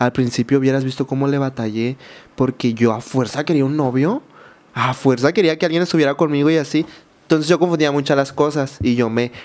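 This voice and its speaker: A man at a fairly quick pace, fairly high pitch, ordinary pitch variation. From Mexico, Baja California Sur (San José del Cabo); Baja California Sur, Mexico. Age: 20s. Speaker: social media content creator. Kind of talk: personal testimony in interview. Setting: studio. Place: studio. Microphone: studio mic.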